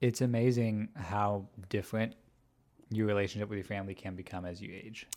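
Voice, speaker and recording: An ordinary speaking voice with an American accent, at a fairly quick pace, with big swings in loudness. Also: man, fairly low pitch for a man, fairly even intonation. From US Midwest, Chicago area. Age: 20s. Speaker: podcast host. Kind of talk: casual chat. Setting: studio.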